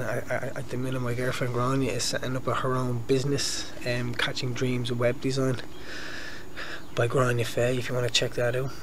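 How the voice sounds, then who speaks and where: A man talks at a moderate pace while noticeable background noise plays. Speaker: vlogger. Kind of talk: casual vlog chat. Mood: earnest, motivational. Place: garden. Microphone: phone near.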